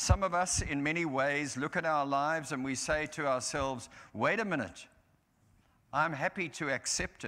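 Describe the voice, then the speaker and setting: At a moderate pace, a man speaks in a bright, sharp tone with ordinary pitch variation. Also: fairly high pitch for a man. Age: 70s. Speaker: minister. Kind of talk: sermon. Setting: church. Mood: solemn, reflective. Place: church.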